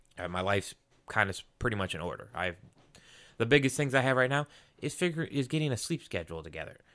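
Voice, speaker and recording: A man's medium-pitched voice, very fast, with very wide pitch swings, long, frequent pauses, vocal fry and a bright, sharp tone, on a very clean recording with a silent background. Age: 30s. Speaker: podcast co-host. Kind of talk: casual chat.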